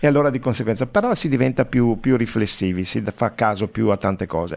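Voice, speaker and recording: A man talking very fast with ordinary pitch movement against a quiet background. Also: medium pitch for a man. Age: 60s. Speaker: radio host. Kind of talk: radio interview.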